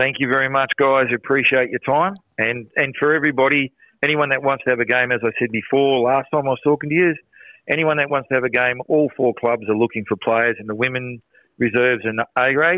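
In an Australian accent, a man of medium pitch talks at a fairly quick pace with fairly even intonation. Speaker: soccer coach. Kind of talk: radio interview. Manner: loud.

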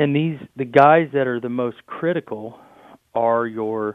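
This man talks at a medium pitch with ordinary pitch variation, in a Midwestern American accent. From Indiana. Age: 30s. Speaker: farmer. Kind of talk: interview.

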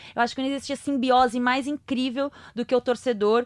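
In a very clean recording with a silent background, a woman with a high pitch talks at a moderate pace, her intonation fairly even and the sound dry and close with no echo. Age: 30s. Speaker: sports podcast host. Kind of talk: casual chat.

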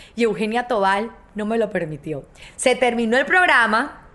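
Amid noticeable background noise, a woman speaks fairly slowly in an animated tone with ordinary pitch variation. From Colombia. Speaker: TV presenter and podcast host. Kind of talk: storytelling monologue.

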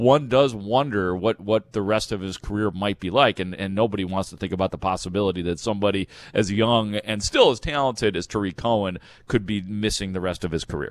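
A man speaks at a fairly low pitch and a fairly quick pace, with ordinary pitch variation. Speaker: sports radio host. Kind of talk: casual sports talk. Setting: at home. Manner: radio voice.

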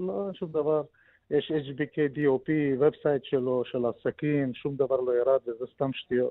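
A man speaks in a fairly high pitch. His pace is very slow. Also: ordinary pitch variation. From Soviet Union. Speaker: deal broker. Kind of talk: radio interview.

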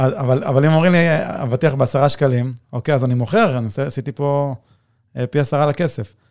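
A man talks at a moderate pace in an ordinary speaking voice, pitched fairly high. The recording is very clean with a silent background. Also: ordinary pitch variation. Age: 30s. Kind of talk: casual interview chat.

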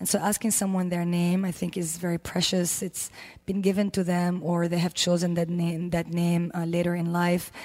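In a fairly low voice with a dark, mellow tone, a woman talks at a moderate pace with monotone, flat intonation. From Lebanon. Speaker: yoga teacher. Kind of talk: casual interview chat.

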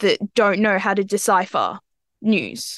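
A woman with an Australian accent is heard against a quiet background, the sound dry and close with no echo. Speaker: student journalist. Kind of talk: interview.

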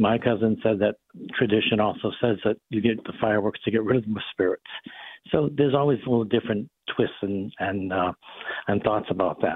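Speaking at a fairly quick pace with an American accent, the voice keeps a fairly even intonation. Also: man, fairly low pitch for a man. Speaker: physician. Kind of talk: radio interview.

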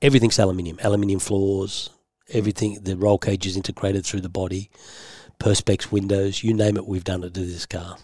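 Over a very clean recording with a silent background, a man with an Australian accent talks at a very fast pace in a fairly low, dark, mellow, somewhat breathy voice with monotone, flat intonation. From Australia, western Sydney. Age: old. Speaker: former racing driver, body repair business owner. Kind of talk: interview.

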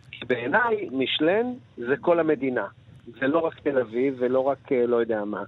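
At a moderate pace, a man talks in a normal speaking voice of medium pitch, with lively intonation. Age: 60s. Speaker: chef. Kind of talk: interview.

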